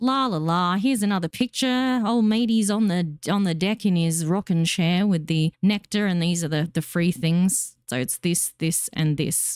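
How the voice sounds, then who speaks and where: Speaking with an Australian accent at a moderate pace, a woman with a fairly low voice uses lively intonation and very even loudness, hardly pausing, in a very clean recording with a silent background and a dry, close sound with no echo. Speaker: gaming YouTuber. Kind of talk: casual commentary on game news. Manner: animated.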